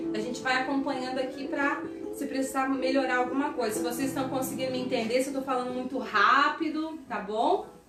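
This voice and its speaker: Fairly even intonation at a fairly quick pace, with audible room echo and noticeable background noise. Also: woman, high pitch for a woman. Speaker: pastor. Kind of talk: sermon. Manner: fast.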